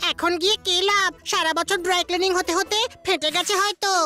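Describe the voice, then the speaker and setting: A cartoonish character voice at an extremely high pitch and moderate pace, over clear background noise. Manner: slow, dopey.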